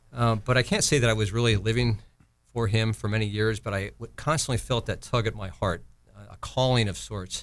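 On a very clean recording with a silent background, a man speaks fairly quickly in a plain, everyday voice, fairly low in pitch and fairly even in intonation. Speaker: retired navy admiral. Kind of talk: casual interview chat.

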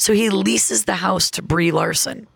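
A woman with an American accent speaks at a moderate pace, her fairly low pitch swinging very widely. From upstate New York (Elmira). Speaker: comedian. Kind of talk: casual chat. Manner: animated.

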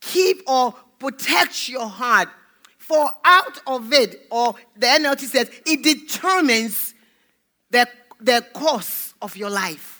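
A woman's high, bright, sharp voice, raised and projected, at a very slow pace. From Nigeria (Lagos). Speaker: pastor. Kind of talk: sermon.

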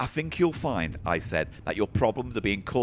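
Reading aloud, plain and simple

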